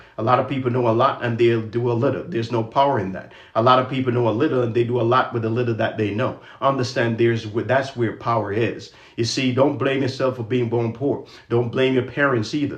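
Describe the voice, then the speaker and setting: Speaking at a very fast pace, a man uses a medium pitch and a flat monotone. His voice is somewhat breathy, and room echo is audible. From Jamaica. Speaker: credit and finance educator. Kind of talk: livestream talk with motivational speech. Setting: social media livestream.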